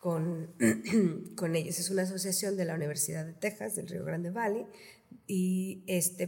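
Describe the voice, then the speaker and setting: A woman speaks at a medium pitch with a dark, mellow tone, some vocal fry and ordinary pitch variation. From Reynosa, Tamaulipas, northern Mexico. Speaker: theatre founder and researcher. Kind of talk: casual interview.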